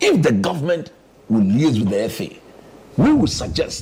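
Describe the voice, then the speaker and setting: Over noticeable background noise, a man speaks at a fairly high pitch with very wide pitch swings. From Ghana. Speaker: sports analyst. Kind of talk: panel discussion.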